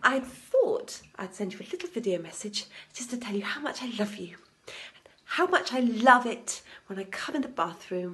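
Here a woman talks. She keeps a moderate pace. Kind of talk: casual vlog chat, sarcastic message. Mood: mock-sweet passive-aggressive. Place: bathroom. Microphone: phone near.

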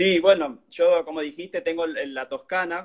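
Against a quiet background, the speaker uses ordinary pitch variation. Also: man. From Argentina. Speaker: cheesemaker and cook; interviewee. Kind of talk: casual chat. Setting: live stream video. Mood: relaxed, friendly. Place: home room. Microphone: phone near.

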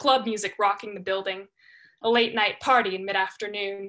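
A woman speaks in a bright, sharp tone with fairly even intonation. The background is quiet. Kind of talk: dramatic monologue performance. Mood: reflective, expressive storytelling. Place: home room. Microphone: webcam.

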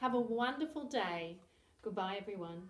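A woman talks at a moderate pace in a somewhat breathy voice. Room echo is audible. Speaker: early years teacher. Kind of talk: lesson for young children. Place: home room. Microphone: camera far.

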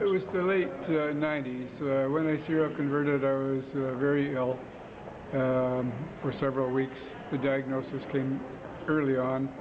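A man talks at a moderate pace with a Canadian accent, fairly even intonation and very even loudness. Noticeable background noise runs underneath. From Ontario, Canada. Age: 60s. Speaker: amateur marathon runner. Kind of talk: interview answer. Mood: friendly, smiling. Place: hall. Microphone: phone near.

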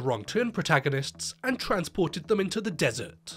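Over background music, a man with a fairly high pitch talks at a fairly quick pace with very wide pitch swings. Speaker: film review youtuber. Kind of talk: scripted narration. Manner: sarcastic, comedic delivery.

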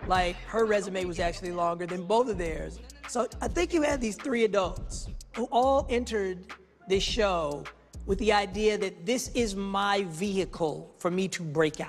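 Faint music plays in the background. A man speaks at a moderate pace in a high pitch with ordinary pitch variation. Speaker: actor interviewee. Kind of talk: interview answer. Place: studio.

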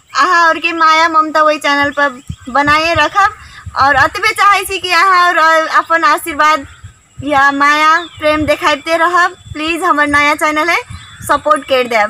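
A woman's raised, projected voice at a very slow pace, with ordinary pitch variation and a dry sound with no echo. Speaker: channel host. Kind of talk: casual vlog chat. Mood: cheerful, smiling. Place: forest. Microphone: phone near.

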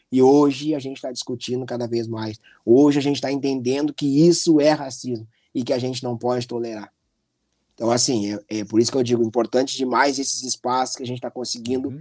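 Against a quiet background, a man at a medium pitch talks at a very fast pace in a dark, mellow tone, his intonation fairly even but his loudness swinging widely. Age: 40s. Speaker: anti-racism activist, director of a monitoring organization; interview guest. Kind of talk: interview. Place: home room. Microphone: video call.

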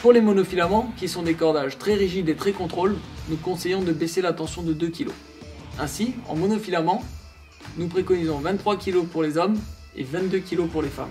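Faint music plays behind a man whose high voice, with ordinary pitch variation, moves at a moderate pace through long, frequent pauses. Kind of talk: tutorial. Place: studio.

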